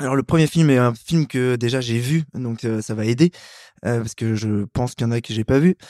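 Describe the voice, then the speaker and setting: Recorded dry and close with no echo in a very clean recording with a silent background, a man speaks at a fairly quick pace in a medium-pitched voice with a dark, mellow tone and ordinary pitch variation. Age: 30s. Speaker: ultra-distance runner. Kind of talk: casual interview. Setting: home studio. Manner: hesitant, many fillers.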